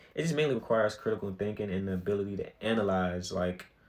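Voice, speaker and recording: The man has an unremarkable speaking voice with a fairly low pitch. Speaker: podcast host. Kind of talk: solo podcast monologue. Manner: casual, filler-heavy.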